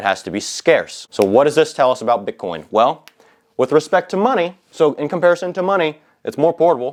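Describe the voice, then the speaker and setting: The man speaks at a very fast pace in an animated tone. His pitch varies in an ordinary way, and the background is quiet. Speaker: finance YouTuber. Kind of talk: whiteboard tutorial. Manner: casual, animated.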